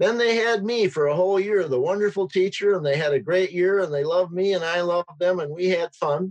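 With an Upper Midwest accent, a man speaks at a high pitch using lively intonation. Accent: Upper Midwest American. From rural Wisconsin. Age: 70s. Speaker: teacher. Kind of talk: interview.

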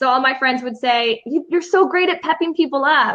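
Projecting a raised voice with a bright, sharp tone, a woman with an American accent talks at a moderate pace, her pitch high and its variation ordinary. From Chicago. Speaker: confidence mentor. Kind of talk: interview.

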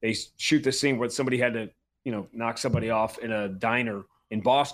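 A man with an American accent talks at a fairly quick pace, in medium pitch and with fairly even intonation. His is a normal speaking voice. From New York. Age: 50s. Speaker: NBA and MMA play-by-play announcer. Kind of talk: casual interview chat.

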